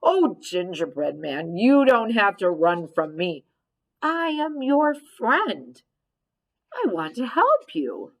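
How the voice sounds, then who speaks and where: Using a put-on character voice, a woman speaks at a very slow pace with a fairly high pitch. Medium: read story. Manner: smooth, friendly-sounding.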